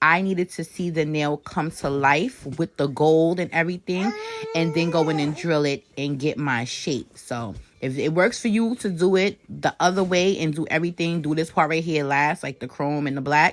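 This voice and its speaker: Noticeable background noise accompanies a woman speaking at a moderate pace. Her pitch is very deep and low, with ordinary variation. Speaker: nail artist. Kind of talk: tutorial. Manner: casual.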